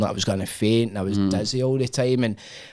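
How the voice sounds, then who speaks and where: A man with a Scottish accent at a medium pitch, very fast, with fairly even intonation. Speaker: podcast host. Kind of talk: casual podcast conversation.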